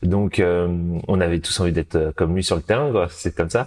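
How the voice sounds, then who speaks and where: This man's very deep, low voice comes through on a very clean recording with a silent background. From Paris region, France. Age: 30s. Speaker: parabadminton athlete. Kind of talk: interview. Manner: halting.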